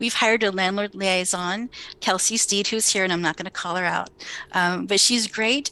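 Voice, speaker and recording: Noticeable background noise sits behind a woman speaking at medium pitch with fairly even intonation. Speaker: homeless service center staff member. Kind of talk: meeting update. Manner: fast.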